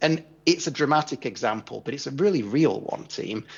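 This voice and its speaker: Quick-paced with an English accent, a man talks with ordinary pitch variation. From England. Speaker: tax and equity compensation consultant. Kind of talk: conference presentation. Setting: remote video link into conference.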